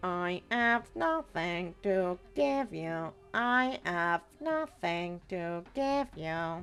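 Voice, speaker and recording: A woman's put-on character voice at medium pitch, very slow with hardly any pauses, and clear music in the background. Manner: repetitive.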